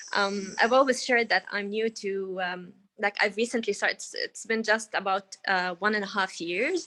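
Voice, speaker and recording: A woman speaks in an Arabic accent. Her intonation is fairly even, and the background is quiet. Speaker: workshop participant, freelancer in beauty and digital content. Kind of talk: casual sharing in online group coaching. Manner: hesitant, many fillers.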